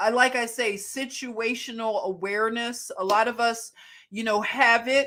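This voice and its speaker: Fairly high-pitched woman with a Philadelphia accent, an animated, bright, sharp tone and a moderate pace. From Philadelphia, US. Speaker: livestream host. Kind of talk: casual live chat.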